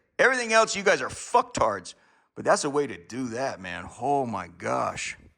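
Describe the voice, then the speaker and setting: This man has a fairly high, bright, sharp voice with vocal fry and an American accent. He talks at a moderate pace with very wide pitch swings. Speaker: vlogger. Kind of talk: casual monologue. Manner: halting, stammering.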